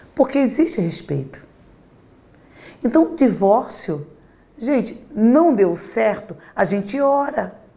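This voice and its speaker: With a dark, mellow tone and a somewhat breathy, fairly high voice, a woman talks at a very slow pace with very wide pitch swings and long, frequent pauses. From Brazil, Rio Grande do Norte (Natal), moved to Rio at nine. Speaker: pastor. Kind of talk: interview testimony.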